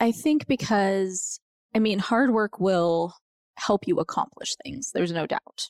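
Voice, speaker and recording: With a plain, everyday voice and an American accent, a woman talks at a fairly slow pace, her medium pitch carrying lively intonation in a very clean recording with a silent background. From Colorado (Montrose). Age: 40s. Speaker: author and former teacher. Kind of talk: casual chat.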